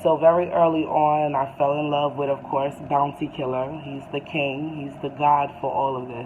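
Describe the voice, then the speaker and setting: With a New York accent, a woman speaks fairly slowly in a very deep, low voice with monotone, flat intonation over noticeable background noise. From US, Brooklyn, New York. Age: 30s. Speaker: YouTuber, music fan. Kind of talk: casual monologue to camera. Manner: hesitant, many fillers.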